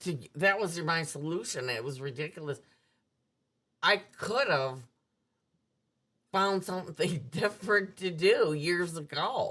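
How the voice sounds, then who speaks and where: Long, frequent pauses and a fairly slow pace, with an Upper Midwest accent, lively intonation and a bright, sharp tone. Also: woman, fairly low pitch for a woman. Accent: Upper Midwest American. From US Midwest, suburban Milwaukee. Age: 60s. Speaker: recovering alcoholic sharing her story. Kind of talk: personal testimony in interview.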